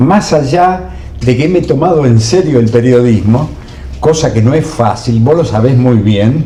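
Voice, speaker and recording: There is noticeable background noise and audible room echo as a man talks at a fairly slow pace. His pitch is medium and his intonation lively. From Argentina, Buenos Aires province. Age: 70s. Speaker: journalist and former TV producer. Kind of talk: interview.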